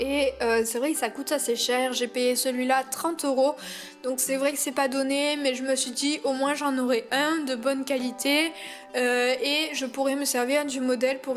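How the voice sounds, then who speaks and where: A woman's fairly slow, monotone delivery with flat intonation, music in the background. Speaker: doll collector. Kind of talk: voice-over product review.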